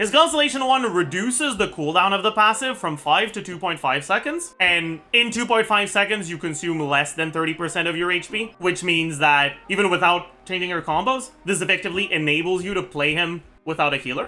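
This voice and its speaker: A man's high-pitched voice, fairly quick with hardly any pauses and lively intonation, against noticeable background noise. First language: not English. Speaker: gaming content creator. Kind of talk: game guide commentary. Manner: casual.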